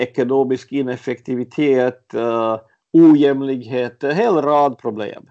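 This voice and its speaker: Here a man speaks at a very slow pace. His pitch is medium and his intonation fairly even. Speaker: journalist, eyewitness. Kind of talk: interview, personal recollection. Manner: halting, many fillers and repetitions.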